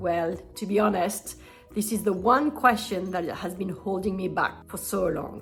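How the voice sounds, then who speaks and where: A woman speaks. Music plays in the background. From France. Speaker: nutritional therapist. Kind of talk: casual talk to camera.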